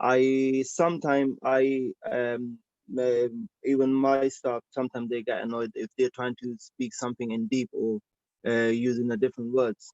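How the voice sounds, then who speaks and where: A man with a non-native accent speaks at a medium pitch with ordinary pitch variation, the sound dry and close with no echo. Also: moderate pace. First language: not English. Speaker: licence applicant, pizza shop operator. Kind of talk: licensing hearing testimony. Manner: halting, many fillers and repetitions.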